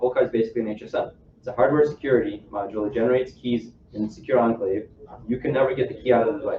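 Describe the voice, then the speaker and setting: A man with a medium-pitched voice talks at a very fast pace with fairly even intonation, and noticeable background noise is present. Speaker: software engineer giving a tech talk. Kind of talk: technical presentation to a live audience.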